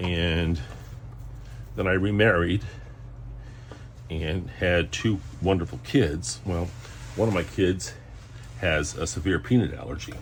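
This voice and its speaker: Lively intonation at a fairly slow pace, long, frequent pauses, and audible room echo. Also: man, very deep, low pitch for a man. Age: 60s. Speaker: home cooking channel host. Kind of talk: casual cooking tutorial. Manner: hesitant, many fillers.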